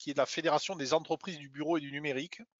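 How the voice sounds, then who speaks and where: A man's fairly high voice with a slight southern French accent. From southern France (Hérault). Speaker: business owner and trade federation vice-president. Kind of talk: webinar presentation.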